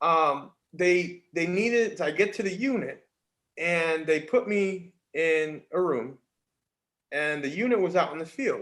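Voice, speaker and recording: An American-accented man speaks with high pitch and lively intonation. His pace is very slow, with long, frequent pauses. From New York, Mohawk Valley upstate. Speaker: army veteran. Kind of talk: casual interview storytelling.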